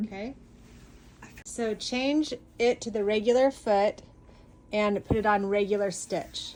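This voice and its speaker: With a fairly high pitch and ordinary pitch variation, a woman talks at a fairly slow pace, leaving long, frequent pauses. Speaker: video host. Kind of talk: commentary on tutorial.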